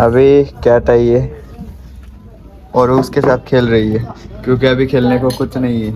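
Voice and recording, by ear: The voice has a dark, mellow tone, little pitch movement, and a fairly slow pace. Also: man, medium pitch for a man.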